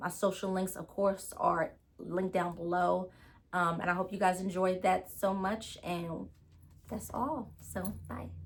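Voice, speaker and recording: At a medium pitch, a woman speaks with fairly even intonation and vocal fry. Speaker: storytime vlogger. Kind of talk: casual storytime monologue. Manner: fast; scattered, filler-heavy.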